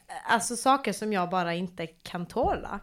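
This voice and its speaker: A woman's voice with very wide pitch swings on a very clean recording against a silent background. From Malmö, Sweden. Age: 20s. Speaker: podcast host. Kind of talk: casual chat.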